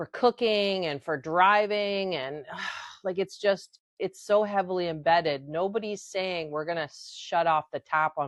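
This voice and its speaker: At a fairly slow pace, a woman speaks at medium pitch with ordinary pitch variation. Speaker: podcast host. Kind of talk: casual talk to camera. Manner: ranting, frustrated.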